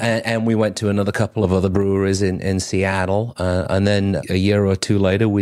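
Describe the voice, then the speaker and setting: In an English accent, a man with a fairly low voice speaks monotone and flat at a fairly quick pace, with very even loudness and hardly any pauses. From northern England, Cheshire. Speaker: brewery owner and brewer. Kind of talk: casual interview. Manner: halting, repeats words.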